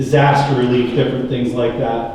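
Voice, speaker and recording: A man with an American accent amid audible room echo and noticeable background noise. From California Central Valley, Tulare County. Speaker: political candidate, dairy farmer. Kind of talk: candidate forum speech. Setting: forum with audience, microphone. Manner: loud.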